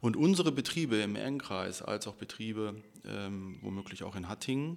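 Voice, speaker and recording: A man's fairly low voice, an ordinary speaking voice, at a moderate pace with lively intonation on a very clean recording with a silent background. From Ruhr area, Germany (Bottrop). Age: 40s. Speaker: trade union official. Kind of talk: casual interview. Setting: union office.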